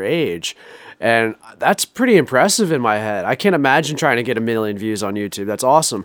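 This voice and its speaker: A man at a fairly quick pace, with very wide pitch swings. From Rhode Island. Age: 20s. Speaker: sales manager. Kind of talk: casual chat.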